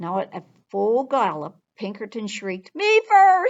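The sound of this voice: The speaker reads in an unforced voice, and the background is quiet.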